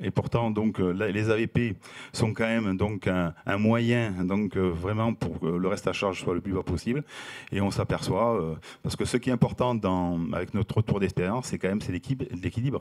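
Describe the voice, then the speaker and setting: With a Toulouse accent, a man speaks at a fairly low pitch. His pace is fairly quick and his pitch varies in an ordinary way. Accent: Toulouse accent, noticeable. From southern France, Toulouse. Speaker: company president, housing operator. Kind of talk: panel talk. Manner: halting, many fillers.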